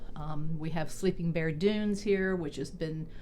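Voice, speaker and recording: Dark and mellow in tone, a woman with a Southern US accent speaks at a fairly low pitch and a moderate pace. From Mississippi, USA. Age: 60s. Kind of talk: casual talk to camera.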